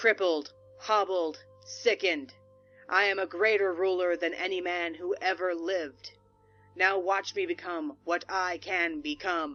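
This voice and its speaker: Using a put-on character voice at medium pitch, a woman bellows loud and booming at a moderate pace, with faint music in the background. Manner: bellowing, booming.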